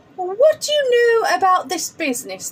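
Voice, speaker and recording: A woman's put-on character voice, squeaky and extremely high-pitched, with very wide pitch swings at a moderate pace. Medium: read story. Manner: pompous, flustered.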